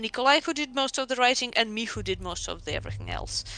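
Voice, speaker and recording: A woman speaks in a bright, sharp tone with vocal fry. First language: Russian. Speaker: game writer. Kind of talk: casual interview chat. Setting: voice call on livestream. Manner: halting, many fillers.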